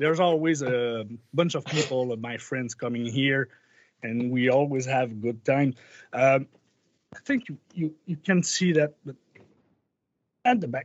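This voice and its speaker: In a Quebec accent, a man of medium pitch talks at a fairly slow pace with ordinary pitch variation and long, frequent pauses. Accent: Québécois French-accented English. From Quebec, Canada. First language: French. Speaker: musician. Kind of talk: casual interview chat. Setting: video call. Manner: halting.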